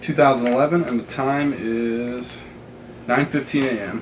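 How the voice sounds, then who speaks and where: A man with medium pitch and fairly even intonation speaks over noticeable background noise. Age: young. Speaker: youth intern interviewer. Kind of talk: interview questions.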